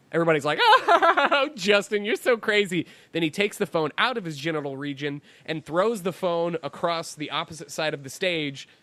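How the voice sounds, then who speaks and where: Over noticeable background noise, a high-pitched man talks in an animated tone at a moderate pace, with ordinary pitch variation. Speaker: podcast co-host. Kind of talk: casual chat.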